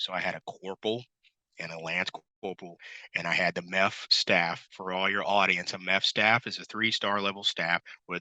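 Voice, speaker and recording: A man speaks loudly at a fairly quick pace in a bright, sharp tone with ordinary pitch variation, his voice dry and close with no echo against a quiet background. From Missouri, US Midwest. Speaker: retired Marine officer, entrepreneur. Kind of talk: interview.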